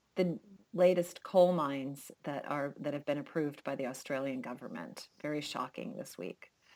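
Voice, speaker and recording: A woman's very deep, low voice with lively intonation at a moderate pace. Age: 60s. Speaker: podcast co-host. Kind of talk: casual chat.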